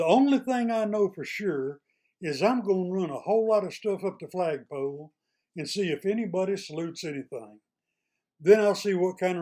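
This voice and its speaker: Lively intonation marks this man's dark, mellow voice in an East Texas accent, captured on a very clean recording with a silent background. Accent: East Texas drawl. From East Texas, small town. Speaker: retired state employee, YouTuber. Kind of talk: casual monologue to camera. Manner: plainspoken, folksy.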